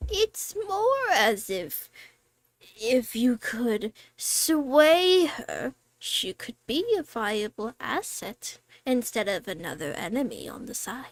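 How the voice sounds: Here a woman puts on a character voice with a high pitch. Her pace is very slow.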